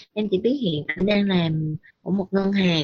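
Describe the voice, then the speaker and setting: Fairly slow, somewhat breathy speech from a woman. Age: 20s. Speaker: listener sharing personal story. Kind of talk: personal testimony.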